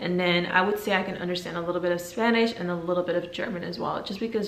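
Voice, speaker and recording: Amid audible room echo and noticeable background noise, a woman with a fairly low pitch talks at a very fast pace. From Netherlands and Belgium, Guinean family. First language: Fulani. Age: 20s. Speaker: YouTuber. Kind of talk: casual Q&A vlog.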